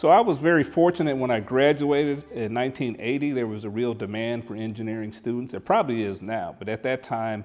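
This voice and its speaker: An unremarkable speaking voice from a man with an American accent, medium in pitch with ordinary pitch variation, at a fairly quick pace with hardly any pauses. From Oklahoma (Tulsa), after Air Force childhood. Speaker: retired electrical engineer. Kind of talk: interview testimony.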